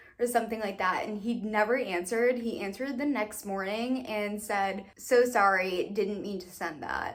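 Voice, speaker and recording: Big swings in loudness mark this woman's animated, fairly high-pitched speech, with ordinary pitch variation and a moderate pace. Audible room echo surrounds her voice. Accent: American. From Massachusetts. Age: 20s. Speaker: beauty vlogger. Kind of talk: casual chat.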